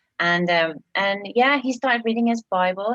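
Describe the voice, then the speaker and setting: With an English accent, a woman talks at a medium pitch and a moderate pace. Her intonation is lively, and the sound is dry and close with no echo. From England. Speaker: missionary church planter. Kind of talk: interview testimony.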